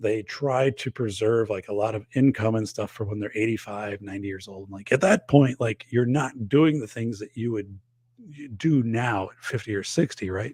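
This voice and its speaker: With an Upper Midwest US accent, the speaker keeps a moderate pace, ordinary pitch variation and big swings in loudness. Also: man, medium pitch for a man. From northern Wisconsin. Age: 50s. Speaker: podcast host and safety expert. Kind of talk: casual livestream chat reading viewer comments.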